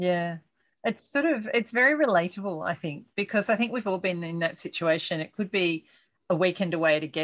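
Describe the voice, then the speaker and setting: A woman talks at a very fast pace. The background is quiet. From Australia. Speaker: podcast host. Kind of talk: interview. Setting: video call. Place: home room. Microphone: webcam.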